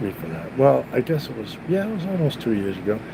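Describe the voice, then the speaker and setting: With an American accent, a man speaks in very wide pitch swings over noticeable background noise and audible room echo. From Massachusetts, New England. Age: 60s. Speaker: youtuber. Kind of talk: casual live stream monologue. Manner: halting, many fillers.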